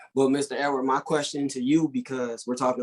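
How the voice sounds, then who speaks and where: A man at a medium pitch and a fairly quick pace. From US West Coast, Compton, Los Angeles. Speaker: podcast co-host. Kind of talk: casual podcast discussion.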